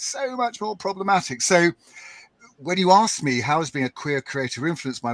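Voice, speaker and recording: His pitch fairly high and swinging very widely, a man speaks. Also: dry, close sound with no echo. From UK. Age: 60s. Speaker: podcaster and writer. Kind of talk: panel discussion.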